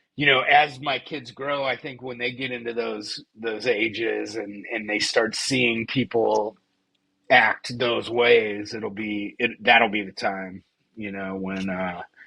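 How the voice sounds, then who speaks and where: A man's medium-pitched, bright, sharp voice at a very slow pace, with big swings in loudness. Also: fairly even intonation. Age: 40s. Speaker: podcast co-host. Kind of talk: casual chat.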